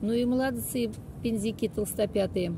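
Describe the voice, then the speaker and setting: A woman's dark, mellow voice at a moderate pace with ordinary pitch variation, dry with no echo, over noticeable background noise. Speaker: local walking guide. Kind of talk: casual guided-tour commentary. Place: street. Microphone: phone near.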